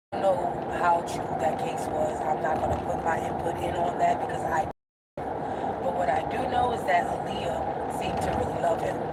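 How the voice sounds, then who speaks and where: Recorded with audible room echo, a woman speaks at a moderate pace in a fairly low pitch with ordinary pitch variation. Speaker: lifestyle vlogger. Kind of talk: casual livestream chat. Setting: outdoors walking.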